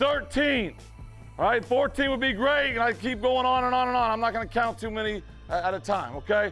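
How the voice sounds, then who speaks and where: Music plays in the background as a man speaks in an energetic tone at a moderate pace. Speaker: high school football coach. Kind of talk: locker-room pep talk to team. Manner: energetic, emphatic.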